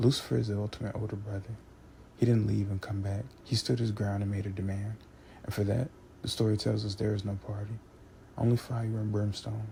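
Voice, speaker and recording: Quietly and somewhat breathily, a man speaks in a fairly low, dark, mellow voice, monotone and flat, at a fairly quick pace. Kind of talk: philosophical monologue, essay-style narration. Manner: monotone, quiet intensity, unperformed.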